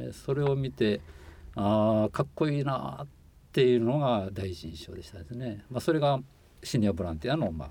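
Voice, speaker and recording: Speaking at a moderate pace, a man with a dark, mellow tone and fairly low pitch moves through very wide pitch swings and big shifts in loudness. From Shiga, Japan. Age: 60s. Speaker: former overseas volunteer, environmental consultant. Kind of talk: interview. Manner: halting, many fillers.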